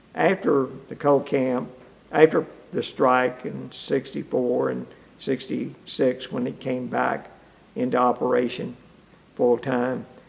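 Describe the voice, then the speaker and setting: Speaking very slowly with an Appalachian accent, a man uses a medium pitch and ordinary pitch variation. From eastern Kentucky. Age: 70s. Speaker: retired-age mining engineer. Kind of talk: oral history interview. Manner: halting.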